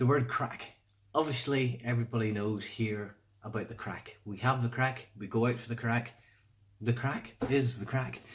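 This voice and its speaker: Somewhat breathy and at a medium pitch, a man speaks at a moderate pace with fairly even intonation. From Northern Ireland. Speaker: vlogger. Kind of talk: casual vlog explainer. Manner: casual, hesitant with fillers.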